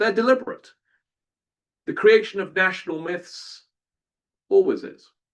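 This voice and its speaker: A man speaks with a British accent. His pitch swings very widely. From southern England, outside London. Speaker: historian. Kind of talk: lecture. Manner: animated.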